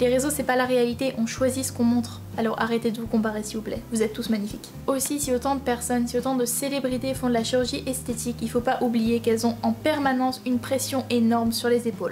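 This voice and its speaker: A woman talks very fast in a high voice while noticeable background noise runs underneath. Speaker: YouTuber, drama student. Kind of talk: vlog commentary. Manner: animated.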